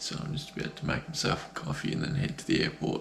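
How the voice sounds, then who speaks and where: A soft-spoken man with an Australian accent, over noticeable background noise. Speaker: excavation business owner vlogger. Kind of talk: casual vlog. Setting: travelling, airport and outdoor expo.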